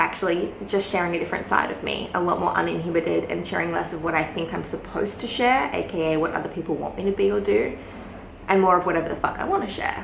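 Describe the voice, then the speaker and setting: Very fast speech from a woman amid noticeable background noise and audible room echo. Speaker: lifestyle vlogger. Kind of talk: casual vlog talk. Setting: alone in a closed room at home. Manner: quieter than usual; hesitant, many fillers.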